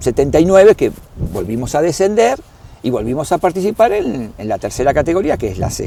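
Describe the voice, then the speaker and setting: A man's pitch swings very widely as he speaks. There is noticeable background noise. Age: 60s. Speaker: club historian and doctor. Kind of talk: interview. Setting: at a football stadium. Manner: halting, with fillers and repetitions.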